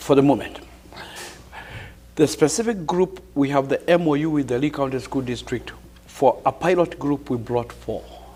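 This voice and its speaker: Amid noticeable background noise, a man with a Kenyan accent speaks at a moderate pace with long, frequent pauses, his pitch fairly high with ordinary variation. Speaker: professor and community leader. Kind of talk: TV interview.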